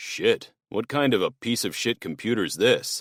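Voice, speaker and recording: Putting on a growling character voice, a man talks at a medium pitch and moderate pace, the sound dry and close with no echo on a very clean recording with a silent background. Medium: read story.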